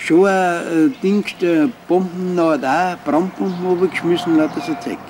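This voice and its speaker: Over light background noise, a man with a high pitch talks at a fairly slow pace. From Altötting, Bavaria, Germany. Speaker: Second World War veteran, eyewitness. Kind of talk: interview answer. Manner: casual dialect storytelling. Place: garden.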